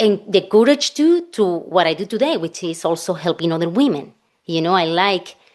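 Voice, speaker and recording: A woman speaks with lively intonation in a Spanish accent. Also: medium pitch for a woman, moderate pace. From Spain. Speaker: financial planner. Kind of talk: podcast interview.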